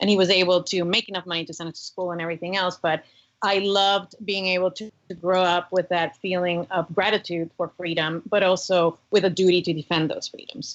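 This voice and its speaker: A woman with a Cuban American accent speaks with fairly even intonation. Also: medium pitch for a woman, fairly quick pace. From US, Cuban-German family. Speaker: former government commissioner, religious freedom advocate. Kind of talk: podcast interview.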